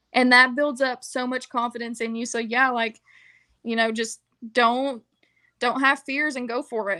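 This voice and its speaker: In a Southern US accent, a woman speaks at a moderate pace with long, frequent pauses, using a high pitch, a bright, sharp tone and monotone, flat intonation over a quiet background. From US South. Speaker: wrestling ring announcer. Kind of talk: interview. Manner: casual, filler-heavy.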